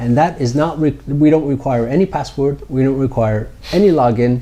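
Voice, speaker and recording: An American man talks at a medium pitch with lively intonation over noticeable background noise. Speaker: startup founder or executive. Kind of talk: interview. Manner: hesitant with many fillers.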